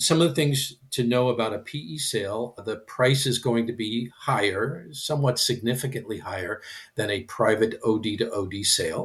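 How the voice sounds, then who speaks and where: A man with an American accent, medium pitch, ordinary pitch variation and a somewhat breathy sound, at a moderate pace with hardly any pauses. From Michigan. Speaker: practice transition consultant. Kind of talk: podcast interview.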